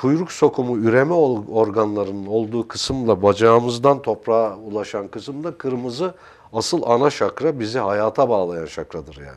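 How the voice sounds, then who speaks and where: A man at a moderate pace, with lively intonation and big swings in loudness. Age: 60s. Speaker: art consultant and character analyst; guest. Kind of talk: TV interview. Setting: TV studio. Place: studio. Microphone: lapel.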